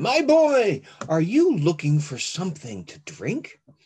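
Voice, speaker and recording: A man adopts a put-on character voice, pitched high and delivered at a fairly slow pace. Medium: read story.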